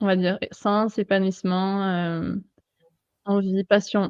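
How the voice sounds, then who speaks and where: A woman at a medium pitch with a slight southern French accent. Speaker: life and sports mental coach, PE teacher. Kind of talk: interview. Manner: hesitant, many fillers.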